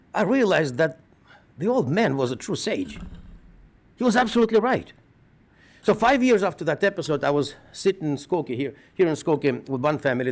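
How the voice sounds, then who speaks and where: Speaking with a Russian accent, a man moves at a fairly quick pace. His pitch swings very widely. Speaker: rabbi. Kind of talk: eulogy.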